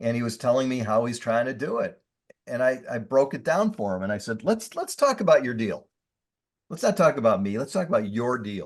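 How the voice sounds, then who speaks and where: Delivered at a fairly quick pace, the speech has an animated tone and lively intonation. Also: man, medium pitch for a man. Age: 60s. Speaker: industrial real estate investor. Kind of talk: podcast interview.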